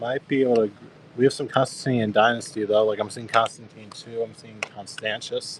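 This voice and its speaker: A man with an American accent, medium pitch and monotone, flat intonation, at a moderate pace over noticeable background noise. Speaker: coin seller on live auction stream. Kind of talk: live selling stream. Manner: casual, chatty.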